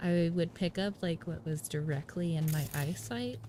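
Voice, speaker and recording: A soft-spoken voice with ordinary pitch variation comes through noticeable background noise. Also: woman. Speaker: gaming streamer. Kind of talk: casual live-stream chat. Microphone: voice too quiet relative to game audio.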